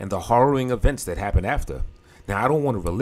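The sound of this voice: Reading aloud in an unforced voice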